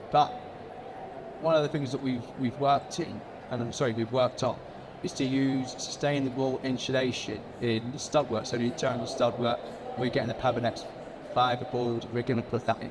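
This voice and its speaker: A man speaks fairly quickly at a medium pitch, though long pauses come often. His intonation is flat and monotone, and background noise is noticeable. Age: 60s. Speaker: builder. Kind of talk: panel discussion. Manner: halting.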